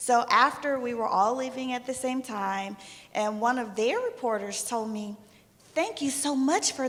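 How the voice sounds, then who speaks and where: A woman's high-pitched voice at a moderate pace, with ordinary pitch variation and noticeable background noise. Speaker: sports journalist. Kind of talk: panel discussion.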